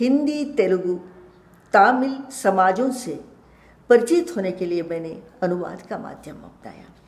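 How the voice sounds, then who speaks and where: In a Kannada accent, a woman speaks with very wide pitch swings, and audible room echo surrounds her voice. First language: Kannada (speaking Hindi). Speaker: retired professor and translator. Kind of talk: lecture. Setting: web lecture. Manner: formal.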